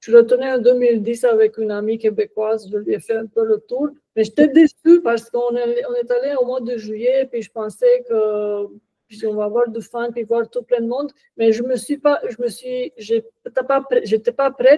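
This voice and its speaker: Speaking at a moderate pace with a Romanian accent, a woman uses a high pitch and fairly even intonation. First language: Romanian (speaking French). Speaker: podcast guest, author. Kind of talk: casual interview.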